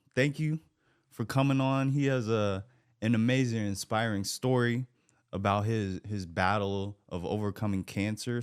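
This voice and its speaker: In a very clean recording with a silent background, a man speaks in an unremarkable speaking voice, with medium pitch, ordinary pitch variation and a moderate pace. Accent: American. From US Pacific Northwest, Portland, Oregon. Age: 20s. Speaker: podcast host, cancer survivor. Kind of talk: interview.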